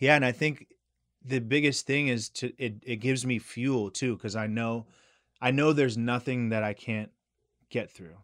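Here a man with an unremarkable speaking voice talks at a moderate pace, his medium pitch in fairly even intonation. The recording is very clean, with a silent background. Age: 30s. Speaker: realtor and aspiring yoga teacher. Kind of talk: casual chat.

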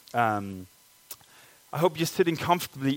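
A man speaks with a Danish accent. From Denmark. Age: 30s. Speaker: pastor. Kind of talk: sermon. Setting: church.

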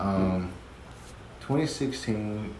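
Through noticeable background noise and audible room echo, a man speaks at a fairly low pitch with ordinary variation. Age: 20s. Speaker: father sharing his experiences; podcaster. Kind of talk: casual chat.

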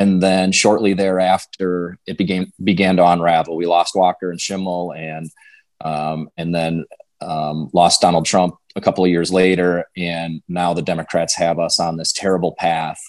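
This man has a very deep, low pitch and a monotone, flat delivery, with a Wisconsin accent. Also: moderate pace. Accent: Upper Midwest (Wisconsin). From Western Wisconsin. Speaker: political candidate, former state legislator. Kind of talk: interview.

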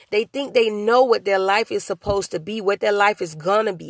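Recorded dry and close with no echo, a woman with an unremarkable speaking voice talks at medium pitch with ordinary pitch variation. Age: young. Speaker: motivational podcast host and author. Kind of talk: solo motivational talk. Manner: casual, conversational.

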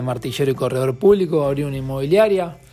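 Very fast speech from a man with a fairly high voice, set against noticeable background noise. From Argentina, Casilda, Santa Fe. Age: 30s. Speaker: podcast co-host. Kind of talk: casual chat.

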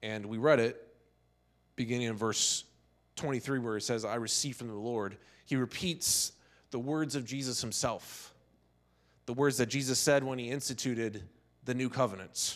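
On a very clean recording with a silent background, a man of medium pitch talks at a moderate pace, intonation fairly even, with long, frequent pauses. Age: 50s. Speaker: pastor. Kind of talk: sermon. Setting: church.

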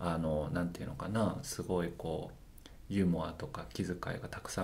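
A man at a moderate pace, with audible room echo. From Japan, Osaka (Amagasaki). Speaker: healer. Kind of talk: casual interview chat.

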